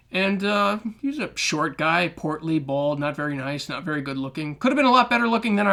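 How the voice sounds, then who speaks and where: A man with an American accent, fairly high-pitched, talking very fast in a bright, sharp tone. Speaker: podcast host. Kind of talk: podcast monologue.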